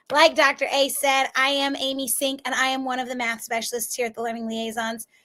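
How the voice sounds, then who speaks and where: A woman projects a raised voice at a high pitch, her tone bright and sharp. She moves at a fairly quick pace with monotone, flat intonation. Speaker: math tutor. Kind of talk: live online tutoring session.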